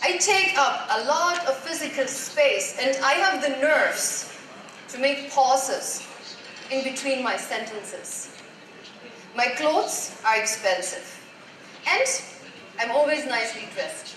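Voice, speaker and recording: A woman with a high pitch speaks at a fairly slow pace, using lively intonation and long, frequent pauses. Noticeable background noise and audible room echo surround her. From Germany. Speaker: life coach. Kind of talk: motivational talk. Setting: stage with audience.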